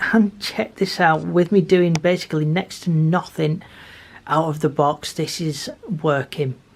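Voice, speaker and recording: A woman speaks quietly at a very deep, low pitch with ordinary pitch variation, on a very clean recording with a silent background. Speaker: model railway YouTuber. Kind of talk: casual tutorial.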